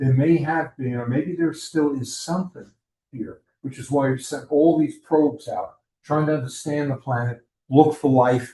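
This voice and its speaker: A man with a fairly high pitch and a somewhat breathy voice speaks at a moderate pace with fairly even intonation. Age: 70s. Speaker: astronomy club presenter. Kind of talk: lecture. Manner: conversational, with fillers.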